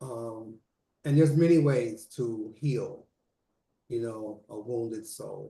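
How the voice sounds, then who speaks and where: A dark, mellow, somewhat breathy tone at a very slow pace, with long, frequent pauses, big loudness swings and ordinary pitch variation. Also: man, medium pitch for a man. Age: 60s. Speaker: author and mental health mentor. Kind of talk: interview.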